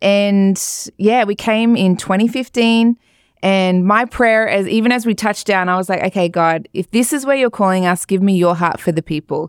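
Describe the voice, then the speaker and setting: In an Australian accent, the voice holds very even loudness and ordinary pitch variation on a very clean recording with a silent background. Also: woman, medium pitch for a woman, moderate pace, dry, close sound with no echo. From rural Australia. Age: 40s. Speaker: pastor and recording artist. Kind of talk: interview testimony. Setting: studio.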